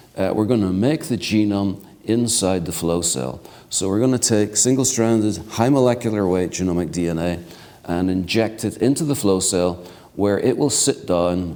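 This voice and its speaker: Audible room echo surrounds a man's dark, mellow tone. He speaks with ordinary pitch variation. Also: fairly low pitch for a man, moderate pace. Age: 60s. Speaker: keynote speaker, genomics researcher. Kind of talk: lecture.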